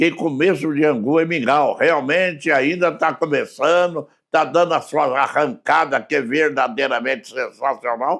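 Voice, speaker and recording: An ordinary speaking voice at a fairly slow pace, with very even loudness, ordinary pitch variation, hardly any pauses, and a very clean recording with a silent background. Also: man, fairly high pitch for a man. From southern Minas Gerais, Brazil (Muzambinho). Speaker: radio broadcaster and political aide. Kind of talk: casual interview chat.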